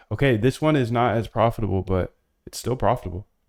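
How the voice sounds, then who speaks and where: In a very clean recording with a silent background, a man speaks at a very fast pace. His medium pitch shows ordinary variation. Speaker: crypto trading bot developer and streamer. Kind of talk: live coding tutorial. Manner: casual, slangy.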